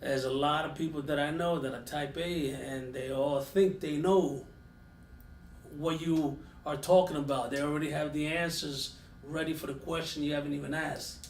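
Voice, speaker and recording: A somewhat breathy man with a New York accent, fairly high pitch, fairly even intonation and a fairly quick pace, in audible room echo. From New York (Yonkers). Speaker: podcast host and firearms instructor. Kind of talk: casual chat.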